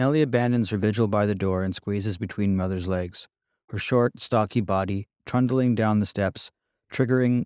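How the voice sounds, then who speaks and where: This man has a dark, mellow tone and fairly even intonation. The recording is very clean and dry, close with no echo, over a silent background. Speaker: author. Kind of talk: audiobook reading.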